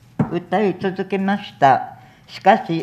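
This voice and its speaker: At a very slow pace, a woman talks in a medium-pitched voice. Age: 70s. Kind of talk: press conference statement. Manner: tearful.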